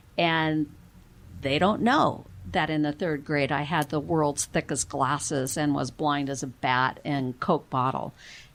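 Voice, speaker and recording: A woman with an American accent, very deep, low pitch and ordinary pitch variation, at a fairly slow pace in a very clean recording with a silent background. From US, partly Texas. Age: 60s. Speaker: podcast host. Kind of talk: casual interview chat. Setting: studio.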